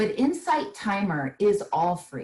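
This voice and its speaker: The voice has a soothing tone and is somewhat breathy. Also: woman. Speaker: small business owner and meditation teacher. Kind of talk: interview.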